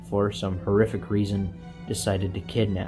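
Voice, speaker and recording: A man speaks with a fairly low voice. Music plays in the background. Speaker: movie reviewer. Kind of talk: video essay narration. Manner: relaxed.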